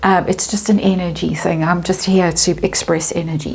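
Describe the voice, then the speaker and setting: At a moderate pace and medium pitch, a woman speaks over noticeable background noise. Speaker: tarot reader. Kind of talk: tarot reading monologue. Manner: hesitant, with many fillers.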